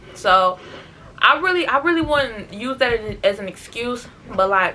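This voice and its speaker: There is noticeable noise in the background. Through it, a woman talks. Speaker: vlogger. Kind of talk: casual vlog talk to camera. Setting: bedroom at home. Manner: loud.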